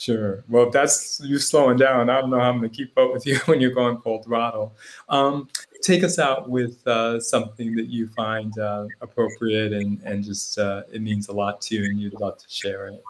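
A man talks at medium pitch and a moderate pace in an unremarkable speaking voice, with ordinary pitch variation. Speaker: podcast host. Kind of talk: interview conversation.

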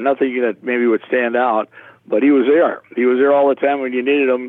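A man with a Minnesota accent talks at a medium pitch. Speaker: retired public address announcer and banquet emcee. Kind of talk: casual interview. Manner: animated.

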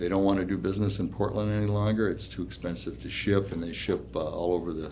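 A man with an American accent speaks at a fairly quick pace, his dark, mellow tone carrying vocal fry. His intonation is lively, and room echo is audible. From Minnesota (Duluth). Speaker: small-town mayor, Vietnam veteran. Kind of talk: interview conversation.

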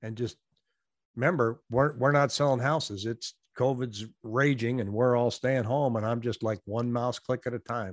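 A man with an American accent and an unremarkable speaking voice, medium in pitch, at a moderate pace with fairly even intonation, in a dry, close sound with no echo and a quiet background. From US Pacific Northwest. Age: 60s. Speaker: real estate agent and YouTuber. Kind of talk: casual interview. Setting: video call.

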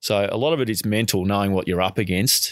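Speaking at a fairly quick pace, a man with an Australian accent has a fairly low pitch. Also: very clean recording, silent background. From Australia (Melbourne). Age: 40s. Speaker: marathon swimmer and swim coach. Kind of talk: interview. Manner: casual with frequent laughs.

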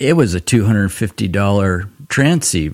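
Lively intonation and vocal fry mark this man's speech at a moderate pace. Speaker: photography podcast host. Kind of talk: casual chat. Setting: in a living room. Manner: soft-spoken; laid back.

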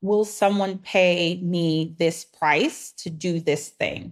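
A woman speaks in an ordinary speaking voice with a fairly low pitch and fairly even intonation. The recording is very clean, with a silent background. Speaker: business operations coach. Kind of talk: interview.

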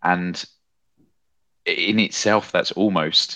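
Against a quiet background, a man with a British accent speaks in a bright, sharp tone. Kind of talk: casual podcast discussion.

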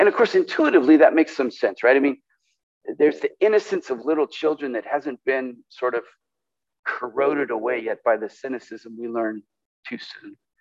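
Dry and close with no echo, a man with an American accent and an ordinary speaking voice talks at a fairly quick pace and fairly high pitch with lively intonation. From California. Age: 60s. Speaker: pastor. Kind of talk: sermon.

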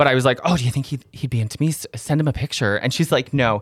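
Very clean recording, silent background, of a man with an unremarkable speaking voice. His pitch is fairly high, with ordinary variation. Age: 30s. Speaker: comedian and radio co-host. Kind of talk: casual chat. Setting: studio.

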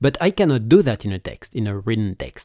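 With a strong French accent, a man speaks at a moderate pace and medium pitch in a dry, close sound with no echo on a very clean recording with a silent background. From France. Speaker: podcast host and public speaking coach. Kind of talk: solo podcast monologue.

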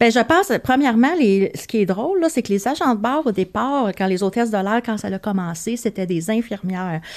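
A woman speaks in a plain, everyday voice, fairly high in pitch, with hardly any pauses. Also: lively intonation, moderate pace. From Quebec, Montreal. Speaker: veterinary receptionist, former flight attendant. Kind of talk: casual chat.

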